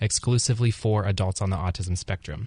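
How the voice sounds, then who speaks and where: Against a quiet background, a man with a fairly low, somewhat breathy voice speaks at a fairly quick pace with ordinary pitch variation. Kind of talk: radio interview answer.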